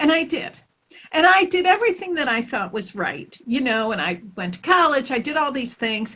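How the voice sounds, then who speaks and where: A woman with a Chicago accent raises and projects her voice in a high pitch. Her tone is bright and sharp, with very wide pitch swings. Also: moderate pace. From Chicago, US Midwest. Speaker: spiritual teacher. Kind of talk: interview. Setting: live stream audio.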